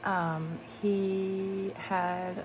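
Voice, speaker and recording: The recording has audible room echo. Noticeable background noise runs underneath. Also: woman. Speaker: vlogger. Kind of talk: casual vlog talk. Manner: hesitant, many fillers.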